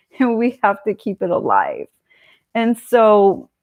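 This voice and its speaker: With an American accent, a woman speaks very slowly in a fairly high, flat monotone. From California, US. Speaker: political commentary streamer. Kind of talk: live stream monologue. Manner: casual, digressive with fillers.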